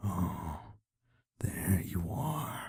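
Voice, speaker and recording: Growling, low-pitched put-on character voice. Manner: menacing.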